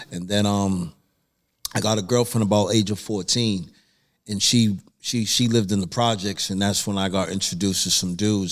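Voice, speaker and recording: A man with an American accent talks at a moderate pace in a plain, everyday voice, his pitch fairly low and his intonation fairly even. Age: 50s. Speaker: recovery group leader and spoken word artist. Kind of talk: casual podcast chat, personal story. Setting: dispensary.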